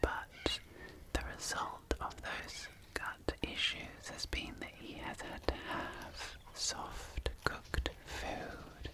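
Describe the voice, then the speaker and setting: Whispered speech at a very slow pace comes through noticeable background noise. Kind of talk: ASMR Whispered; whispered ASMR commentary.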